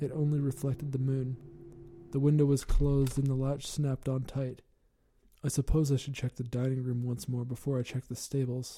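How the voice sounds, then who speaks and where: Somewhat breathy and dark, mellow in tone, a man's medium-pitched voice runs at a fairly quick pace with monotone, flat intonation. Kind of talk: gothic horror narration, scripted story read aloud. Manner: formal and ornate, grave, brooding tone.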